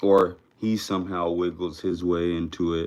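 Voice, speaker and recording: A man speaks with a very deep, low pitch. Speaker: wrestling show reviewer. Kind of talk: casual solo commentary. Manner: unenthused, low energy.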